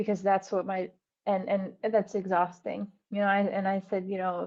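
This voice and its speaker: A woman with an American accent talks at a moderate pace. Her medium-pitched voice is monotone and flat. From US Northeast, Vermont. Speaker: dance teacher. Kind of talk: casual chat. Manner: halting.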